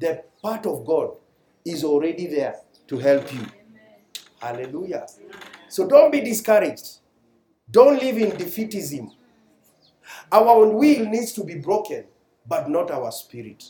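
A man with a high voice speaks fairly slowly, with long, frequent pauses and audible room echo. His pitch swings very widely and his loudness rises and falls sharply. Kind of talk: sermon. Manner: animated.

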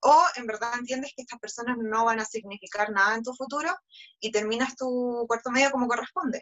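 In a Chilean accent, a woman speaks fairly quickly at a high pitch, with ordinary pitch variation and big swings in loudness. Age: 20s. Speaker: beauty pageant contestant. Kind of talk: interview.

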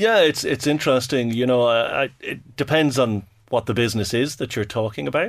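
On a very clean recording with a silent background, a man with a Dublin accent talks at a fairly quick pace and medium pitch with ordinary pitch variation. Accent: Dublin Irish. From Ireland, Dublin. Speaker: fintech executive. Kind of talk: podcast interview.

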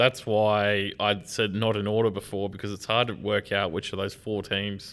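A man with an Australian accent speaks at a fairly low pitch in a monotone, flat intonation. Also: moderate pace. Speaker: football podcast co-host. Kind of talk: casual chat.

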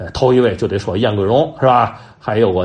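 Animated in tone, a man with a Tianjin accent speaks at a moderate pace with ordinary pitch variation amid noticeable background noise. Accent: Tianjin Mandarin. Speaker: folk storytelling enthusiast and commentator. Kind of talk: informal talk on storytelling history. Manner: animated, conversational with many fillers.

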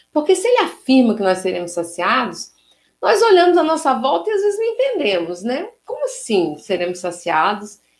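Her voice high in pitch, a woman moves through very wide pitch swings at a moderate pace. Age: 50s. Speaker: spiritist lecturer. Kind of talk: religious lecture.

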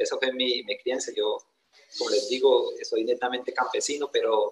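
The man talks at a fairly slow pace. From Colombia, Meta plains (llanero). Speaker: wounded army veteran, motivational speaker. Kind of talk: motivational talk.

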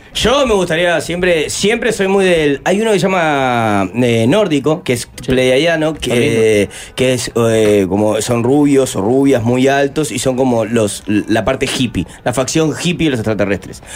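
A man at medium pitch, fairly slow with hardly any pauses, very even loudness and very wide pitch swings, over noticeable background noise. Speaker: musician and former cook. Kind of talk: interview.

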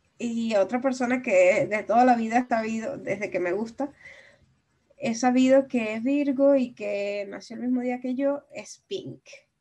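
This woman's voice is high-pitched with a dark, mellow tone, and its loudness swings widely. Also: ordinary pitch variation, fairly slow pace. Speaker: podcast co-host. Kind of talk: casual chat.

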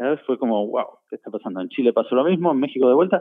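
This man has an Argentine accent and a fairly high pitch. His intonation is lively. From Argentina, Buenos Aires. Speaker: concert production manager. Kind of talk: interview. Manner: halting.

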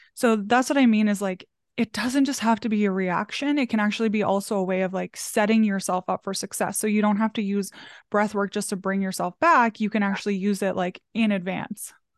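A woman with a normal speaking voice talks at a medium pitch and a fairly quick pace, her intonation fairly even, the sound dry and close with no echo over a quiet background. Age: 30s. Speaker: small business coach. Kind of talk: casual chat.

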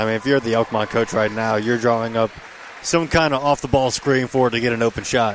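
Noticeable background noise surrounds a man who talks at a very fast pace. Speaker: color commentator. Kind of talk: live sports commentary, analysis.

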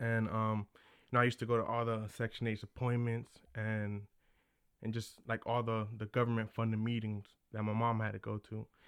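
This man speaks at a moderate pace in a monotone, flat intonation. The sound is dry and close, with no echo. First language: Spanish. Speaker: real estate investor. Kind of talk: casual interview.

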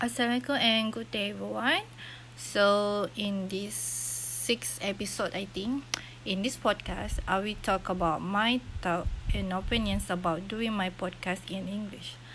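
The speech comes at a fairly slow pace. It is delivered with a Malaysian accent. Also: woman. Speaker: university student podcaster. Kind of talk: casual solo podcast monologue. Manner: halting, many filler sounds.

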